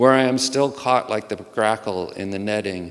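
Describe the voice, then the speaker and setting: This man has a plain, everyday voice with an American accent. His pitch is fairly low and his intonation fairly even. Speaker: poet. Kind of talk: informal introduction to poems; poetry reading. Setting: auditorium stage with audience.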